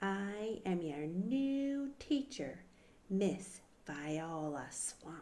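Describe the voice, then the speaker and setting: A female-sounding put-on character voice at a medium pitch speaks at a very slow pace with hissing. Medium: read story. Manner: harsh, hissing, snappish.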